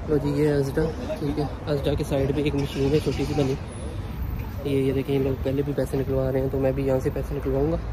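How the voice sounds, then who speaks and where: Crowd noise sits in the background as a man talks at a fairly quick pace, the sound dry with no echo. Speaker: vlogger. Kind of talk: casual vlog chat. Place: street. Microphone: phone near.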